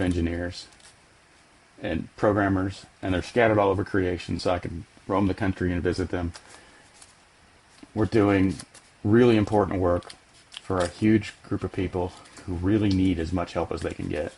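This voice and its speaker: Over noticeable background noise, a man with a very deep, low pitch talks at a moderate pace in a fairly even intonation, leaving long, frequent pauses. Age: 60s. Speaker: software company CEO. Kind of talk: podcast interview.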